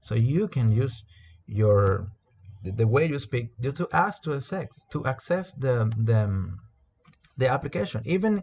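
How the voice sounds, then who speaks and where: A man with a Spanish accent speaks in a somewhat breathy voice, his pitch swinging very widely. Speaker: corporate trainer. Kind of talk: product training presentation. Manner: halting, many repetitions and fillers.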